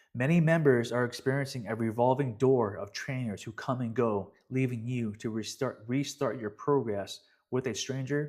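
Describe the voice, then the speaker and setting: Here is a man with an unremarkable speaking voice at medium pitch. He keeps a moderate pace and fairly even intonation. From Canada, Vancouver. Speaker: fitness coach. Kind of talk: casual webinar update. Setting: live webinar recording. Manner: casual, repetitive.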